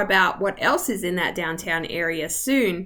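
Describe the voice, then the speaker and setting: The woman talks in an Australian accent. Her intonation is lively. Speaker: real estate agent. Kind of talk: video tour. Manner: rising intonation at ends; casual, friendly.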